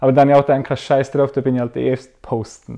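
Talking at a very fast pace, a man has a medium pitch and a dark, mellow tone. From Switzerland, Arbon (Thurgau). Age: 20s. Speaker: social work student. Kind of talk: casual discussion.

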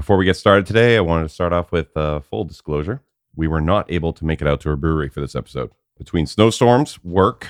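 A man's very deep, low voice at a very fast pace with ordinary pitch variation, on a very clean recording with a silent background. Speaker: podcast moderator.

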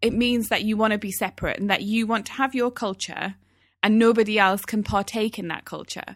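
Talking at a fairly quick pace, a woman keeps a monotone, flat intonation. Her pitch is fairly high. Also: very clean recording, silent background. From Newcastle, northern England. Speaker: podcast co-host, former radio presenter. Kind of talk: casual chat. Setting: home recording.

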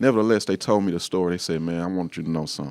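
Recorded very cleanly against a silent background, a man with an American accent speaks in a very deep, low pitch with ordinary pitch variation. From Shreveport, Louisiana. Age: 30s. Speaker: pastor. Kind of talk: casual interview chat.

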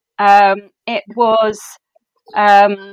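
Her accent is English and her pitch is medium for a woman. The sound is dry and close, with no echo. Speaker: book editor. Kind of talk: interview. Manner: halting.

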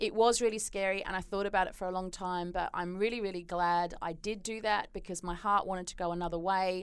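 A woman with an Australian accent talks at a very fast pace in a monotone, flat intonation. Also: medium pitch for a woman, hardly any pauses. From Australia, Perth. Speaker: performance consultant and psychologist. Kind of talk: interview.

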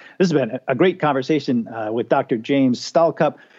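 This man has a plain, everyday voice, pitched in the medium range with ordinary variation in pitch. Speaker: podcast host. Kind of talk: podcast interview.

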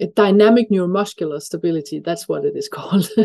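Her tone dark and mellow, a woman with a Danish accent speaks with ordinary pitch variation in a dry, close sound with no echo. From Denmark. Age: 50s. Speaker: breathing expert. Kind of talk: interview.

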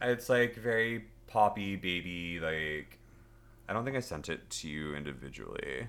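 A man with an American accent speaks at a fairly slow pace, his pitch fairly low. He has an unremarkable speaking voice with lively intonation. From Los Angeles, US. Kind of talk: casual chat.

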